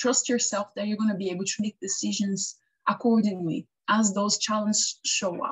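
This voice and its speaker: Her pitch sits in the middle range. This woman sounds somewhat breathy. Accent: non-native. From Brazil. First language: Portuguese. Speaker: web and graphic designer. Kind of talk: interview advice talk. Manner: halting, with fillers and self-corrections.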